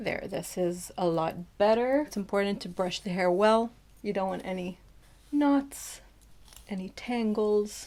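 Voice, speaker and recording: At a fairly slow pace with long, frequent pauses, a woman with an American accent speaks at medium pitch in a dark, mellow tone with ordinary pitch variation. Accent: American-sounding. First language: not English. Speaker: beauty YouTuber. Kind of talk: tutorial; scripted voiceover. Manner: casual, chatty.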